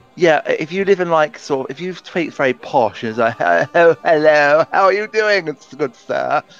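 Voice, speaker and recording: Over music in the background, a man with an English accent talks in a fairly high pitch with ordinary pitch variation and hardly any pauses, the sound dry and close with no echo. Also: moderate pace. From UK. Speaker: video game let's player. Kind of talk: casual chat. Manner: halting, many fillers.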